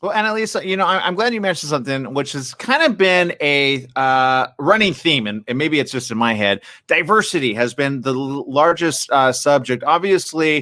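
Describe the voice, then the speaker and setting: A man with an American accent and a bright, sharp tone speaks at a moderate pace and a fairly high pitch, with lively intonation and hardly any pauses. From Pittsburgh, US. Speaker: festival chat host. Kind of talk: live video interview.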